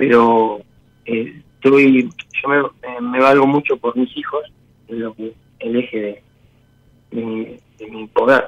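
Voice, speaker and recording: Pausing long and often, a man talks very slowly at medium pitch with fairly even intonation and big swings in loudness. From Olavarría, Buenos Aires province, Argentina. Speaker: radio caller seeking advice. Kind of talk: personal testimony on call-in show. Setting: phone call. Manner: halting.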